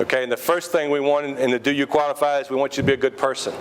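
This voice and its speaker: A man speaks with a fairly high pitch. Noticeable background noise is present. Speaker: high school basketball coach. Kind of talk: team speech. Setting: restaurant. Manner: loud.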